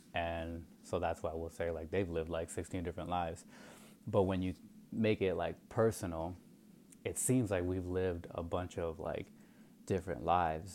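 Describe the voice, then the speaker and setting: A man's very deep, low voice in an American accent, at a moderate pace with fairly even intonation. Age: 30s. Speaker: podcast host. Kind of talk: solo monologue podcast. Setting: home recording at night. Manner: casual, rambling with fillers.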